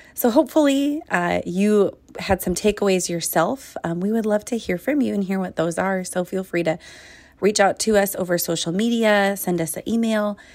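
The woman has an unremarkable speaking voice at a medium pitch, moving at a moderate speed with ordinary pitch variation. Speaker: podcast outro host. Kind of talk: scripted-style episode wrap-up.

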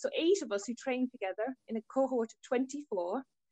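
In an Irish accent, a woman speaks at a high pitch with a dark, mellow tone, recorded in a dry, close sound with no echo. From Ireland, rural Tipperary. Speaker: diagnostic radiographer. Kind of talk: interview.

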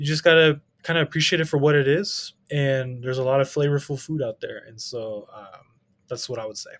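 A man's ordinary speaking voice, fairly high-pitched with ordinary pitch variation, at a fairly quick pace with big swings in loudness. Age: 30s. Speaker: teacher and card collector. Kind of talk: casual chat.

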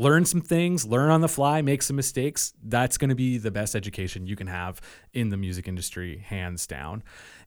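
A man with a Nova Scotia accent speaks at a moderate pace and a medium pitch, with very wide pitch swings. The recording is very clean, with a silent background. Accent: southwest Nova Scotia Acadian English. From Nova Scotia, Yarmouth County (Acadian). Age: 30s. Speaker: musician and music publicist. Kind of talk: casual chat.

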